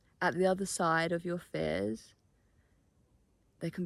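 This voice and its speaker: A voice with a British accent speaks with lively intonation. The recording is very clean, with a silent background. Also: woman. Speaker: vlogger. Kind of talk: vlog. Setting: outdoors. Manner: soft-spoken.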